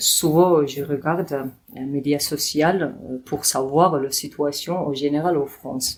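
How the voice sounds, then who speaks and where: Very slow speech from a woman with a very deep, low pitch. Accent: Georgian. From Georgia. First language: Georgian (speaking French). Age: 20s. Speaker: podcast guest. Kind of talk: interview. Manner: halting, many hesitations.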